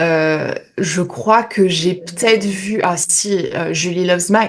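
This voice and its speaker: Here is a woman speaking. Her pitch is medium. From France, French Ardennes. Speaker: YouTuber. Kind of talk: interview. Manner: hesitant, many fillers.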